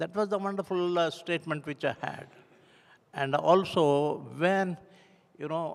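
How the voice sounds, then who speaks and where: With an Indian accent, a man talks at a fairly slow pace in a high voice, leaving long, frequent pauses. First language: Hindi. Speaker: church member giving testimony. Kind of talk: testimony. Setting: church. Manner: halting.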